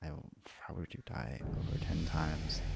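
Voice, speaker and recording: There is music in the background as a soft-spoken man talks. His pitch varies an ordinary amount. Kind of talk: ASMR soft-spoken; casual gaming commentary.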